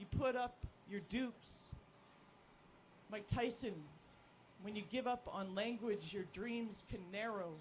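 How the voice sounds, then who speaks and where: This voice speaks at a fairly slow pace with a Canadian accent. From Canada, Alberta. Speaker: spoken word poet. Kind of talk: poetry performance. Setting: outdoor stage with audience.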